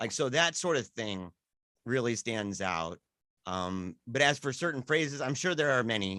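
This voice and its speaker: With a strong Michigan accent, a man speaks at a moderate pace in a medium-pitched, bright, sharp voice with very wide pitch swings, on a very clean recording with a silent background. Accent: strong Midwestern (Michigan-type). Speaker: podcast guest. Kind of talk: casual chat.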